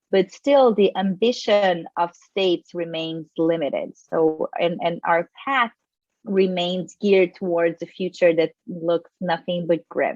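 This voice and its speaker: Very slowly, a woman with a fairly low voice speaks with ordinary pitch variation in a dry, close recording with no echo. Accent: Portuguese. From Brazil. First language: Portuguese. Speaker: environmental lawyer and climate litigation researcher. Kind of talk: panel talk.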